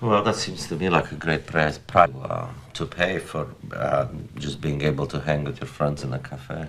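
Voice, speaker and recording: Through noticeable background noise comes a man's very deep, low-pitched voice. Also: ordinary pitch variation, moderate pace. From Romania, Transylvania. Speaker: radio commentator and filmmaker. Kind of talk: documentary narration and interview.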